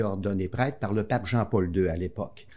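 This man has a Quebec accent and a dark, mellow tone. He talks at a moderate pace with fairly even intonation. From Quebec City suburbs, Quebec. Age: 60s. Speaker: priest guest. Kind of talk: interview; blessing. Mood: warm, reflective. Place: studio. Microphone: studio mic.

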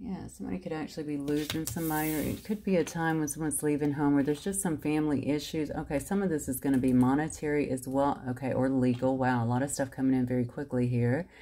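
Very fast and with hardly any pauses, a woman talks in a very deep, low pitch with ordinary pitch variation. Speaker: card reader. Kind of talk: card reading commentary. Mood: warm, encouraging. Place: home room. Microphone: phone near.

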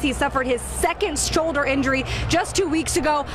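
Woman at a high pitch, fairly quick pace, ordinary pitch variation, over noticeable background noise. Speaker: sideline reporter. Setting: outdoors on the sideline, windy.

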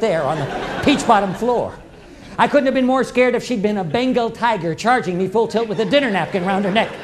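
A man talks at a very fast pace and high pitch, with ordinary pitch variation. Light background noise can be heard. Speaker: storyteller performer. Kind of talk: theatrical monologue storytelling. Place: stage.

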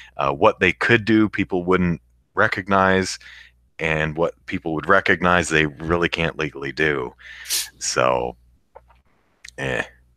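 Slow-paced and very deep in pitch, a man speaks with a bright, sharp tone, vocal fry, ordinary pitch variation, and long, frequent pauses. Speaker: podcast host. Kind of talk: casual chat.

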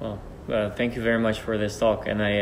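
Over light background noise, a man with a Dutch accent talks fairly quickly at a fairly low pitch in a monotone, flat intonation. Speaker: archer and channel host; interviewer. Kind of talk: interview. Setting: training centre. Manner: halting. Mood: warm, thankful. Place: hall.

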